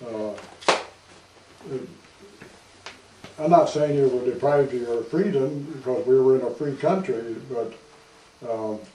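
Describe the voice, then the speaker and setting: Noticeable background noise accompanies a man who talks fairly slowly, his pitch varying in an ordinary way. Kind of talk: interview answer. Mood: reflective, calm. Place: office. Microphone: camera far.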